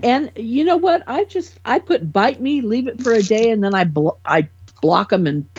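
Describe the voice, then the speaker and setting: Somewhat breathy and fairly high, the woman's voice swings very widely in pitch. She keeps a moderate pace. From California. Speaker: podcast panelist. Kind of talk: casual chat.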